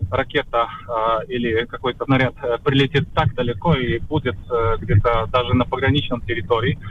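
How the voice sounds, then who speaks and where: With a Polish accent, a man talks at a moderate pace over noticeable background noise. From Poland. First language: Polish (speaking Russian). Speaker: journalist. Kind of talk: interview. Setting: video call.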